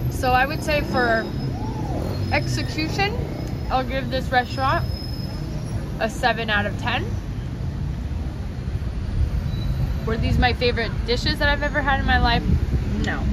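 Long, frequent pauses come through loud background noise in a dry sound with no echo. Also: moderate pace. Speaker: travel vlogger. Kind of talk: casual vlog chat, food review. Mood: relaxed, playful. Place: cafe.

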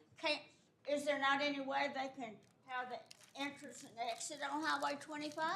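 With a high pitch, a woman projects her raised voice in a flat monotone at a moderate pace, with long, frequent pauses, big swings in loudness, audible room echo and noticeable background noise. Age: 80s+. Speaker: resident speaking at public meeting. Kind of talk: public comment.

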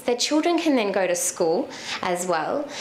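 An Australian accent marks this woman's speech. She talks at a fairly quick pace. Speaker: social enterprise co-founder. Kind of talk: talk to a meetup audience. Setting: live in-person meetup with audience. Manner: conversational, inspirational.

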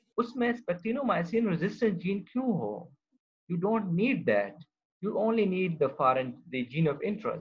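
A man's high-pitched voice with lively intonation. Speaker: university professor. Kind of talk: online lecture. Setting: video call. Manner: code-mixes Hindi-Urdu and English.

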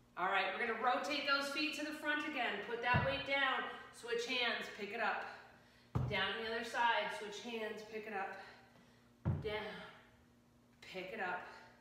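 With long, frequent pauses and ordinary pitch variation, the fairly slow speech carries strong room echo over noticeable background noise. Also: woman. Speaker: fitness instructor. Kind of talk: guided exercise class, leading a workout with live cues. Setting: home workout video. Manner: brisk, upbeat and encouraging, firing off short commands and rep countdowns; energetic, coaching in a friendly conversational tone. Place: gym.

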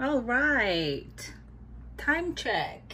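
A woman's bright, sharp tone over light background noise. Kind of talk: casual vlog chat. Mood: cheerful, playful. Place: kitchen. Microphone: phone near.

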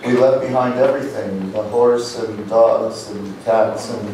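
A man at a fairly slow pace, with strong room echo and light background noise. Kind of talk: storytelling between songs on stage. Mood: reflective, wistful. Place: stage.

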